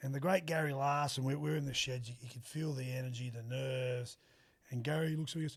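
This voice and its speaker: A man with a strong Australian accent, at a medium pitch, somewhat breathy and at a very fast pace. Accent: broad Australian. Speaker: former rugby league player. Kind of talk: casual interview chat. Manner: animated.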